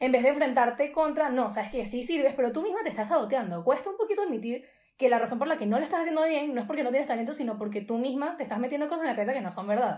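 Speaking at a very fast pace, a woman with a Venezuelan accent uses a high pitch and lively intonation. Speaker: social media creator. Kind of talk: casual interview chat.

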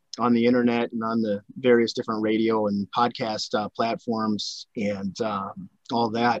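Dry and close with no echo, a man's recording features a normal speaking voice at medium pitch and a moderate pace. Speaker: podcast host. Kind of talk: interview, casual conversation.

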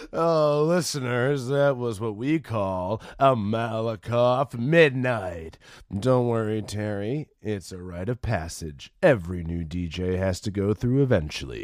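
On a very clean recording with a silent background, a man does a put-on character voice at a medium pitch, fairly slow in pace with hardly any pauses and lively intonation. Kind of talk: radio host sign-off. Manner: laid-back, bro-ish.

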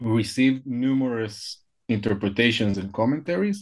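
Speaking at a fairly slow pace, a man with an Israeli accent uses lively intonation at a medium pitch. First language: Hebrew. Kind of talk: interview about a book. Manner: halting, hesitant, with frequent fillers.

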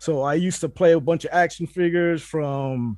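A man's high-pitched voice moves with ordinary pitch variation. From Puerto Rico. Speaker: toy collector and figure hunter. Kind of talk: casual interview chat.

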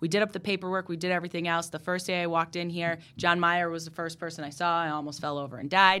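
A woman with an American accent talks very fast at a fairly low pitch, barely pausing, in a monotone, flat delivery. Her tone is bright and sharp, and the recording is very clean with a silent background. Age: 30s. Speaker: TV news reporter. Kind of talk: casual interview chat. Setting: studio. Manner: warm, friendly, laughs often.

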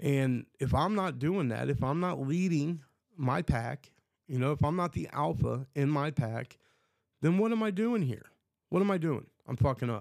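Lively intonation from a man with a fairly high pitch at a moderate pace, on a very clean recording with a silent background. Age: 30s. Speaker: podcast host. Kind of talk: casual monologue. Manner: halting.

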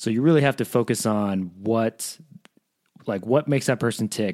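A man speaks at a moderate pace in a plain, everyday voice, medium in pitch with ordinary variation, on a very clean recording with a silent background. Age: 30s. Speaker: host's partner. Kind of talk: casual chat.

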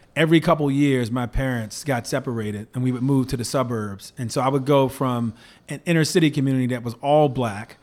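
This man has a normal speaking voice of medium pitch and an American accent, speaking at a fairly quick pace on a very clean recording with a silent background. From Baltimore, Maryland (US East Coast). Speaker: tech entrepreneur. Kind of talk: interview.

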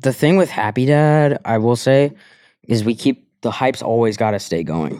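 A man with an American accent speaks at a moderate pace and medium pitch, in a dark, mellow tone with lively intonation. The recording is very clean with a silent background. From Colorado. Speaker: content creator. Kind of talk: casual chat.

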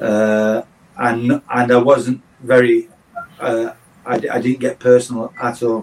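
Over noticeable background noise, a man speaks very slowly in a medium-pitched monotone with flat intonation and long, frequent pauses. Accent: English. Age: 60s. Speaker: football coach and former manager. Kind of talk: podcast interview.

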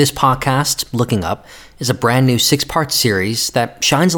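A man with an American accent, a normal speaking voice, ordinary pitch variation and a moderate pace. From United States. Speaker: podcast host, magazine editor. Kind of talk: scripted narration.

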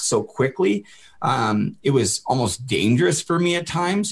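A man with a western Canadian accent and ordinary pitch variation. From Canada, Port Coquitlam near Vancouver. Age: 30s. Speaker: former pro hockey player in addiction recovery. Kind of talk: interview conversation.

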